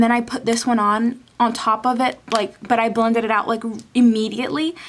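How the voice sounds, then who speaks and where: A woman's high voice at a fairly quick pace. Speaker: beauty vlogger. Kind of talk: product review. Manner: fast.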